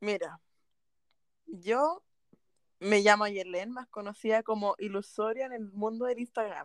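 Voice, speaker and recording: A woman with a Chilean accent speaks at a fairly slow pace and fairly high pitch, with ordinary pitch variation, big swings in loudness and long, frequent pauses, in a dry, close sound with no echo. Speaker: podcast co-host. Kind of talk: casual chat.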